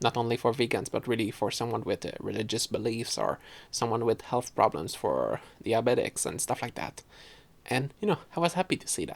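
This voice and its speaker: A man with a Quebec accent talks at a fairly quick pace with medium pitch, vocal fry and ordinary pitch variation. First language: French. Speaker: podcaster. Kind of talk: casual chat. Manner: halting, many fillers.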